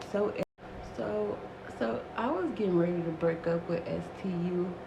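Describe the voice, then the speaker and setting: Whispering with audible room echo and noticeable background noise. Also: woman. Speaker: storytime vlogger. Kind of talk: casual storytelling.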